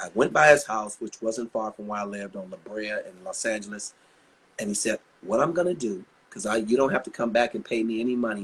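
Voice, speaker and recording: At a fairly quick pace, a man speaks at a medium pitch with ordinary pitch variation and big swings in loudness. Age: 60s. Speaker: R&B singer. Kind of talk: casual interview chat. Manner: animated.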